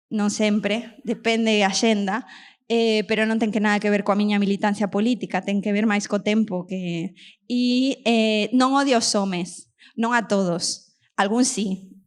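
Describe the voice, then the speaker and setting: The intonation is fairly even, and the recording is very clean with a silent background. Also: woman. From Argentina. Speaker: show host. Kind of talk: stand-up style opening monologue to live audience.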